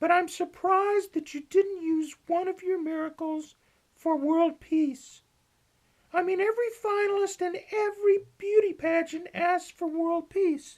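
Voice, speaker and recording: A put-on character voice, female-sounding and extremely high-pitched, at a moderate pace. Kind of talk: comic deadpan parody. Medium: comedy sketch. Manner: slangy, enthusiastic, echoing.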